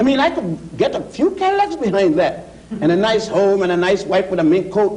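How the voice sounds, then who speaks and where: With noticeable background noise behind him, a man talks at a fairly quick pace in a high pitch, with ordinary pitch variation. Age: 60s. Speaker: scholar of African history. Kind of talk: TV panel discussion. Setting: TV studio.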